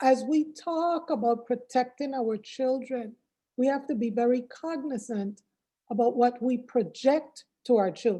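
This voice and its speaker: On a very clean recording with a silent background, a woman with an American accent speaks at a fairly slow pace in a high pitch, with a dark, mellow tone and ordinary pitch variation. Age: 60s. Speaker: workshop speaker. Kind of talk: speech.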